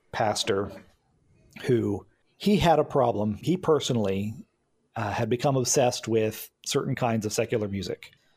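Somewhat breathy and at medium pitch, a man speaks at a moderate pace with ordinary pitch variation and long, frequent pauses, on a very clean recording with a silent background. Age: 40s. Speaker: podcast co-host. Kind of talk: casual chat.

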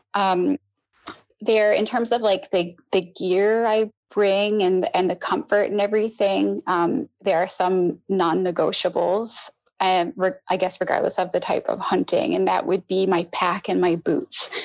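Speaking in a plain, everyday voice, a woman talks at a medium pitch and fairly slow pace with ordinary pitch variation. Her loudness is very even, and the sound is dry and close with no echo. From Newfoundland, Canada. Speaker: hunter. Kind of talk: podcast interview.

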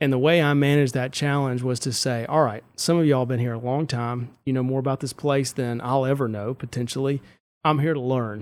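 With a Mississippi accent, a man speaks fairly quickly at a medium pitch and with fairly even intonation, on a very clean recording with a silent background. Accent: Mississippi Southern. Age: 30s. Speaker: state auditor, elected official. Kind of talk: casual interview. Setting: studio.

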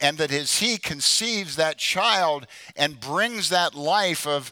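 A man speaks in a high pitch at a fairly slow pace. His tone is bright and sharp. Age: 70s. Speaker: preacher, former pro football player. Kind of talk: sermon. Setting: church.

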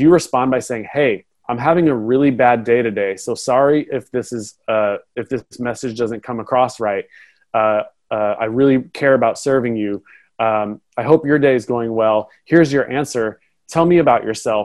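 A man talks in an ordinary speaking voice with an American accent. His pitch is medium with ordinary variation, at a moderate pace. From Portland, Oregon (US West Coast). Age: 30s. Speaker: speaker and entrepreneur coach. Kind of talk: interview.

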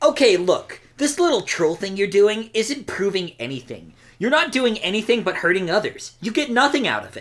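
A woman puts on a character voice with a fairly high pitch, speaking at a moderate pace with hardly any pauses. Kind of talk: comic overacting of a fan comic. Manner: scolding, self-righteous.

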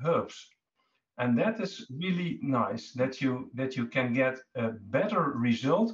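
The pace is very slow. The pitch swings very widely. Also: man. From Netherlands. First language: Dutch. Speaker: cancer survivor. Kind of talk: interview testimony. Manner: halting.

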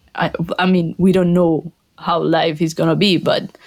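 A woman's fairly low voice with a Colombian accent, fairly slow pace, and monotone, flat intonation. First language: Spanish. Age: 20s. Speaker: panel member, graduate professional. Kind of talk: casual chat.

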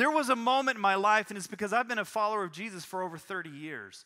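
Raised and projected, this man's voice sits high in pitch with a bright, sharp tone. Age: 40s. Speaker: pastor. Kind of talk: sermon. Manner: halting.

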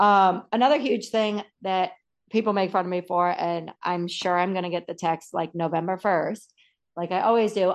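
An ordinary speaking voice with an American accent proceeds at a moderate pace with ordinary pitch variation. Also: woman, medium pitch for a woman. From Massachusetts, US. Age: 30s. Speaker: organizing expert and stay-at-home mom. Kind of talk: interview.

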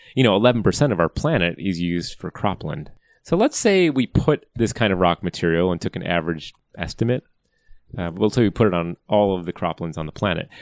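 A man with an American accent speaks in a very deep, low pitch and lively intonation. The very clean recording is dry and close, with no echo and a silent background. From US Midwest (Wisconsin). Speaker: climate scientist, professor. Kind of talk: interview. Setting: office.

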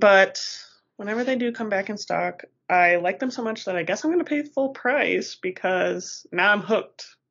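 Speaking with an American accent, a woman uses a medium pitch and lively intonation at a moderate pace. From Colorado. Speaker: podcast co-host. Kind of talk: casual chat.

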